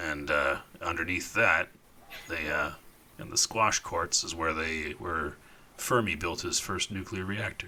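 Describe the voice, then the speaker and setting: A man puts on a raspy character voice with a very deep, low pitch. He goes at a fairly slow pace, with long, frequent pauses. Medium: actual play. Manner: casual, rambling, filler-heavy.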